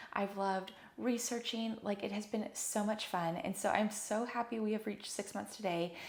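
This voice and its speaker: Animated in tone, a woman speaks at a medium pitch and moderate pace over noticeable background noise. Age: 20s. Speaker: physical therapist and wellness podcast host. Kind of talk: solo podcast talk.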